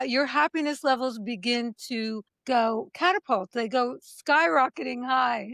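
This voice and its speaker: A woman with an American accent speaks at a high pitch. The sound is dry and close with no echo, in a very clean recording with a silent background. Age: 70s. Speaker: author and speaker on aging. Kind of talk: interview.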